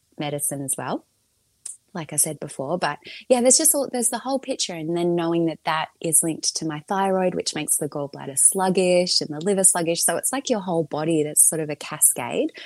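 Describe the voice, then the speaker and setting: Speaking with an Australian accent, a woman uses a fairly low pitch, lively intonation and a fairly quick pace. The background is quiet and the sound is dry and close, with no echo. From Melbourne, Australia. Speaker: podcast creator and mother. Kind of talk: casual interview chat.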